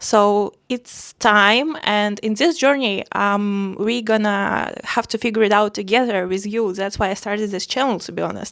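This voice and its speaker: A woman with a non-native accent speaks in a fairly even tone, with hardly any pauses. The recording is very clean, with a silent background. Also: medium pitch for a woman, moderate pace. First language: not English. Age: 20s. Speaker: art vlogger. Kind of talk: casual personal vlog. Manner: hesitant, many fillers.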